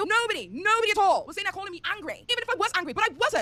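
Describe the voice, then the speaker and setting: Extremely high-pitched, raised and projected speech from a woman, very fast and animated in tone. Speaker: YouTuber. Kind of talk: reaction commentary.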